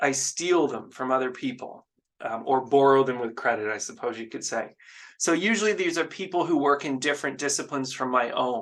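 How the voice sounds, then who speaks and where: A man talks at a moderate pace in a medium pitch with a Canadian accent. It is an unremarkable speaking voice. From Canada. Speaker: professor. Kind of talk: lecture.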